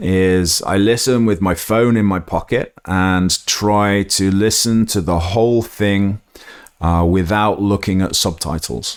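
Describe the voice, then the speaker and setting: With an English accent, a man speaks at a very slow pace. His pitch is fairly low and his intonation fairly even. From England. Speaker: podcast host, English teacher. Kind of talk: educational podcast monologue. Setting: solo recording with microphone. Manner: hesitant, many fillers; slightly stiff.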